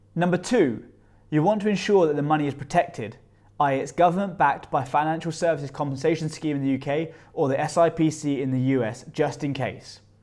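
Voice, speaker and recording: This man speaks at a fairly quick pace with a British accent. His pitch is fairly high, with ordinary pitch variation. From UK. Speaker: personal finance youtuber. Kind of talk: scripted tutorial.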